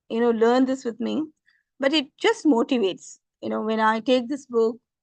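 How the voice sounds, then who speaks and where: A woman's high voice with a Tamil accent, ordinary pitch variation and a moderate pace, against a quiet background. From India, Tamil Nadu. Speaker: religious teacher. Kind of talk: scripture lecture. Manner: halting, many fillers.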